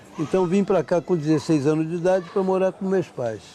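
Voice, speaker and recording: Crowd noise fills the background as a man speaks. His pitch is fairly high, and his pace is moderate. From Rio de Janeiro, Brazil. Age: 70s. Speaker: longtime resident of housing complex. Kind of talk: documentary interview.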